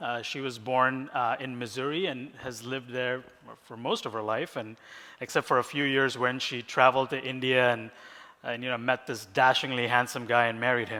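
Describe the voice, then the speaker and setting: On a very clean recording with a silent background, a man speaks at medium pitch in a bright, sharp tone with monotone, flat intonation. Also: moderate pace. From Bahrain. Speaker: ministry founder and conference speaker. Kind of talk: conference talk.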